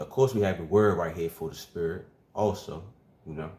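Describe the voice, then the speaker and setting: Here a man speaks with a dark, mellow tone. His voice is fairly low in pitch and somewhat breathy. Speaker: religious teacher. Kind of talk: bible teaching. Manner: fast.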